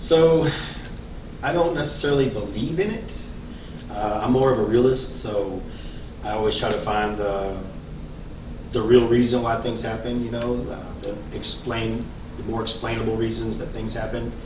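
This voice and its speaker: Speaking in a Texan accent at a moderate pace, a man with a medium pitch and ordinary pitch variation leaves long, frequent pauses amid noticeable background noise and audible room echo. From Central Texas, Killeen area. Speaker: local resident. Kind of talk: interview. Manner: halting.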